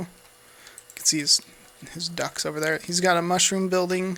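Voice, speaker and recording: Against noticeable background noise, a man with an American accent speaks in a high pitch and a monotone, flat intonation. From United States. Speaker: gaming YouTuber. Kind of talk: gameplay commentary. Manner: casual, hesitant with fillers.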